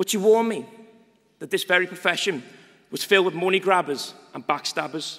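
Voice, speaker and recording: A man with a Liverpool accent, high-pitched, with ordinary pitch variation and long, frequent pauses. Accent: Liverpudlian. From northern England, Liverpool. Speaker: students' union president. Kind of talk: ceremonial speech. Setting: graduation ceremony hall. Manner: formal.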